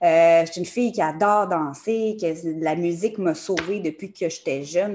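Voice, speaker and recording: A woman's medium-pitched voice carries ordinary pitch variation. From Quebec, Montreal area. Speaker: numerologist. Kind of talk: podcast interview.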